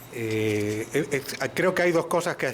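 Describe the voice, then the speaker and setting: A man with an Argentine accent speaks at a fairly slow pace. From Argentina. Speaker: moderator. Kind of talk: panel discussion.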